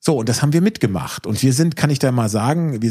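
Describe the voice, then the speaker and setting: Somewhat breathy with a dark, mellow tone, a man speaks at a medium pitch and a fairly quick pace. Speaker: solar entrepreneur. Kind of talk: casual chat.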